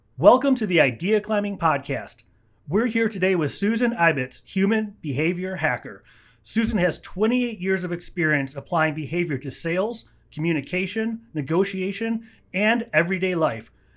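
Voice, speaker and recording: On a very clean recording with a silent background, a man with a high pitch talks at a moderate pace with lively intonation. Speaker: podcast host. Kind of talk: interview.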